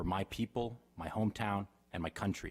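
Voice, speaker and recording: A man's unremarkable speaking voice with an American accent, fairly low in pitch, with fairly even intonation. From Davis, California. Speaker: political candidate. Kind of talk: campaign speech. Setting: council chambers with audience.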